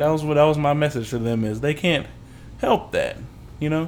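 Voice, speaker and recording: Fairly quick delivery from a man, fairly high-pitched, in a plain, everyday voice with ordinary pitch variation. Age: 20s. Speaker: podcast co-host. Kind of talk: casual chat.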